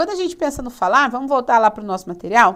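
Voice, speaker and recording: A woman's high voice with very wide pitch swings. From São Paulo state, Brazil. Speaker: teacher. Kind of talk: lecture. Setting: studio.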